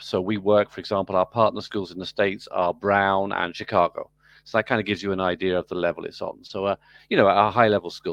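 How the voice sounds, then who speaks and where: A man with an American accent speaks at a fairly quick pace and fairly low pitch. The sound is dry and close with no echo, and the background is quiet. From UK. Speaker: business school program director and professor. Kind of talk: interview.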